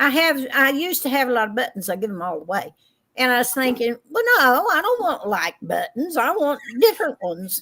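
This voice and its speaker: With a bright, sharp tone and very wide pitch swings, the voice moves at a fairly quick pace in an Appalachian accent. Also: woman, high pitch for a woman. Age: 70s. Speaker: co-host. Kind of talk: casual chat.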